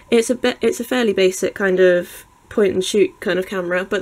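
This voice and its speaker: Fairly quick and fairly even in intonation, a woman speaks at medium pitch with a British accent. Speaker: YouTuber reviewing products. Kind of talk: unboxing tutorial. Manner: casual, with filler ums.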